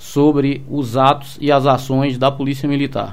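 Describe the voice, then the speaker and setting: A fairly high-pitched male voice at a fairly slow pace. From Salvador, Bahia, Brazil. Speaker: police commander. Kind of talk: radio interview. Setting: radio studio. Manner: halting, many fillers.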